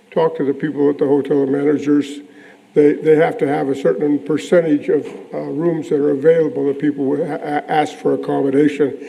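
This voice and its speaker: A man's fairly high voice at a fairly quick pace, with fairly even intonation and noticeable background noise. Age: 80s+. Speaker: property owner speaking at public meeting. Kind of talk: public comment. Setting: city planning commission meeting. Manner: halting.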